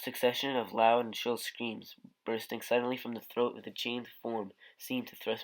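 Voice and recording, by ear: Someone reads the text aloud in a natural voice.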